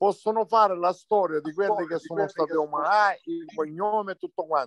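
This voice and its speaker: The recording has a dry, close sound with no echo as a man with a high pitch speaks at a fairly quick pace with ordinary pitch variation. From Sicily. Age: 60s. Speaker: local community member. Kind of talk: casual chat.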